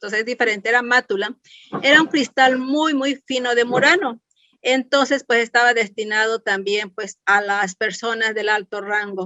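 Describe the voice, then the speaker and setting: Here is a woman with an ordinary speaking voice and fairly high pitch. She keeps a moderate pace with ordinary pitch variation. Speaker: clinical chemist. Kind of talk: lecture. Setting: webinar.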